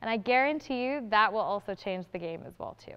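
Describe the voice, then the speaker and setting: The voice moves at a moderate pace with an animated tone. Its pitch swings very widely. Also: woman. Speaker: workshop presenter. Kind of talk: workshop presentation. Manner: loud.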